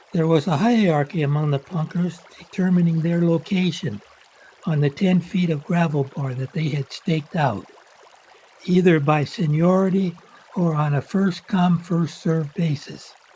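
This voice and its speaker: With an American accent, a man speaks at a moderate pace in a high pitch with ordinary pitch variation, and noticeable background noise is present. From Washington State, US Pacific Northwest. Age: 80s+. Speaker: local fisherman telling his story. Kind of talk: personal narration.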